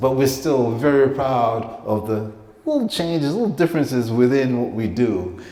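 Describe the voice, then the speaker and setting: Over noticeable background noise and audible room echo, a man with an American accent talks at a moderate pace with ordinary pitch variation. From Caribbean, then the Bronx, New York. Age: 50s. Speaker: painter. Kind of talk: artist talk to an audience. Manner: halting, stammering.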